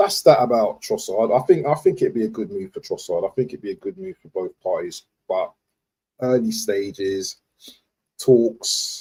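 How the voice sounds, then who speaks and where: A man with a London accent at a moderate pace. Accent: London multicultural English. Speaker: football fan streamer. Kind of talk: live stream commentary. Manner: stuttering today; casual, repetitive slang.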